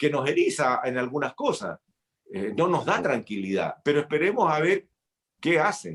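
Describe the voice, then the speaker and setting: Fairly high in pitch and marked by vocal fry, a man's voice makes very wide pitch swings. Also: moderate pace. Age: 60s. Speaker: senator. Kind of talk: interview.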